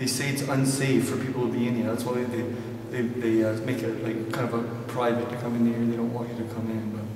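A man speaks fairly quickly in a room with audible echo and noticeable background noise. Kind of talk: casual vlog chat. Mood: eager, slightly excited. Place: tunnel cave. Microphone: camera far.

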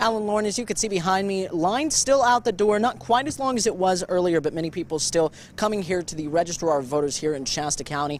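A high-pitched man speaks at a very fast pace in a dry sound with no echo. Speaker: TV news reporter. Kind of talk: live news report. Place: street. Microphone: handheld.

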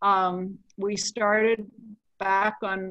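Her tone is bright and sharp, the woman's intonation fairly even, with a dry sound that has no echo and a quiet background. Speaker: session host. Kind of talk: meeting introduction. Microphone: video call.

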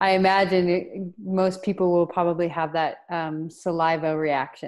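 A woman with an ordinary speaking voice and a fairly low pitch talks at a fairly slow pace against a quiet background. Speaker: energy coach and Reiki master. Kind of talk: guided meditation; webinar talk. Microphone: earbuds.

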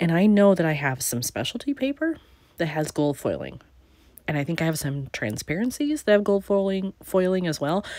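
A woman talks at a moderate pace with a fairly low pitch and very wide pitch swings. The sound is dry with no echo, and the background is quiet. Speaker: scrapbooking channel creator. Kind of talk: crafting tutorial narration. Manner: casual, relaxed.

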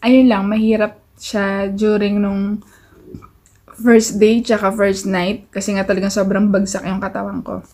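A woman's dark, mellow, somewhat breathy voice, monotone and flat at a fairly slow pace, against a quiet background. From Philippines. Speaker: vlogger. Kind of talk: casual vlog talk to camera. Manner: relaxed. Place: home room. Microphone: phone near.

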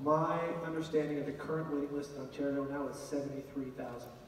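Fast and fairly even in intonation, a man with a fairly high pitch talks amid audible room echo.

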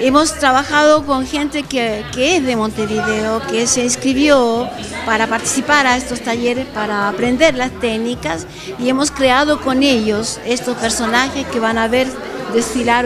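A woman talks at a fairly slow pace while clear music plays in the background. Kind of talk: interview answer. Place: hall. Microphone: handheld.

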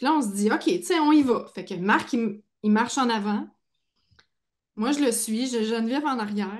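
Against a quiet background, a woman with a fairly high pitch and ordinary pitch variation speaks at a moderate pace with long, frequent pauses. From Quebec. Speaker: podcast host. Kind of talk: casual chat. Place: home room. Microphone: video call.

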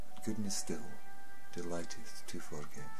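Over noticeable background noise, a man with a fairly low pitch talks at a fairly slow pace. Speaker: poetry reciter. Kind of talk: poetry reading. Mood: solemn, earnest. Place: home room. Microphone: webcam.

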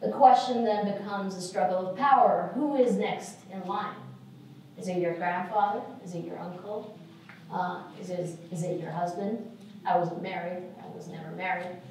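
With strong room echo and light background noise, a woman speaks at a medium pitch with ordinary pitch variation. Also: moderate pace. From Saudi Arabia. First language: Arabic. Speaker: lecturer, lawyer. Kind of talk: lecture. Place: hall.

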